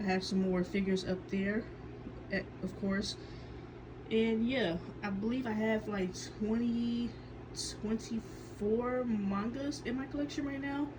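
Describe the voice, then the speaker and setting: A woman talks at a fairly high pitch and fairly slow pace, with ordinary pitch variation and long, frequent pauses. Noticeable background noise and audible room echo are present. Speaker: manga collector vlogger. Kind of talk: casual collection show-and-tell vlog. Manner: hesitant, many fillers and self-corrections.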